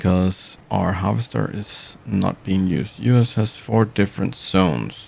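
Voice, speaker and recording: A man with a non-native accent, very deep, low pitch and lively intonation, over noticeable background noise. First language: not English. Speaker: gaming streamer. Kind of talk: live gameplay stream commentary. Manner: halting, many fillers and restarts; casual, relaxed.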